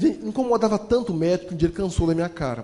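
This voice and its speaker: Over noticeable background noise, a man speaks at a very fast pace in an animated tone. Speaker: motivational speaker and storyteller. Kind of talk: motivational storytelling talk.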